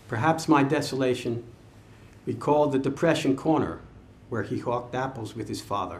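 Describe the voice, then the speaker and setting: The voice has vocal fry and ordinary pitch variation, with long, frequent pauses. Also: man, medium pitch for a man. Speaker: poet. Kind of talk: poetry reading, measured and reflective. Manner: slow, deliberate, solemn; wistful, introspective. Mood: reflective, measured. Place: shop. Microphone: podium.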